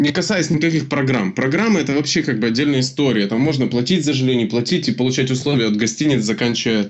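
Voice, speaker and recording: Here a man has an unremarkable speaking voice at a medium pitch with ordinary pitch variation. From Ukraine. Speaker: podcast co-host. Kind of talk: casual chat.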